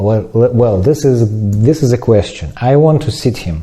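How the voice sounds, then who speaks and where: Lively in intonation, a man with a non-native accent speaks in a fairly low, dark, mellow tone. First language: not English. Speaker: ceramics teacher. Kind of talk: tutorial. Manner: halting.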